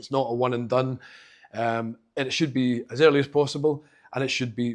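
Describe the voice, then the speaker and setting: A man with a Glaswegian accent speaks at medium pitch. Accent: Glaswegian Scottish, noticeable. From Scotland, Glasgow. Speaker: accessibility specialist giving a talk. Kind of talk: conference talk. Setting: stage with live audience. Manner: fast; casual, halting with fillers.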